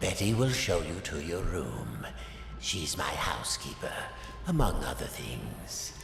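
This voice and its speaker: A man's put-on character voice, very deep and low, at a fairly slow pace with long, frequent pauses, slight echo and loud background noise. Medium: game stream. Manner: measured, smooth.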